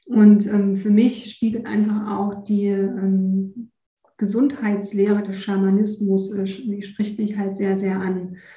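Speaking very slowly, a woman uses a medium pitch and a monotone, flat delivery. Her tone is dark and mellow, and somewhat breathy. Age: 40s. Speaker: nature and energy coach. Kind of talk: interview.

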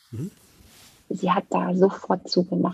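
Somewhat breathy, a woman talks in a dry, close sound with no echo. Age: 40s. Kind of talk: testimony. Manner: halting.

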